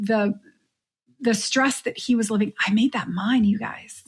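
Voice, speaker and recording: In a very clean recording with a silent background, a woman speaks somewhat breathily at a fairly high pitch with fairly even intonation. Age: middle-aged. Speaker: podcast host, coach for midlife women. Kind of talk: solo podcast monologue.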